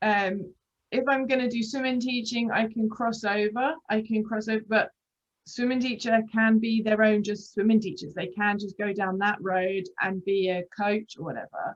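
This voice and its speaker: A woman talks with a fairly high pitch and ordinary pitch variation. Her pace is moderate. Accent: British. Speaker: aqua fitness instructor and interviewer. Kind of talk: casual interview chat. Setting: video call.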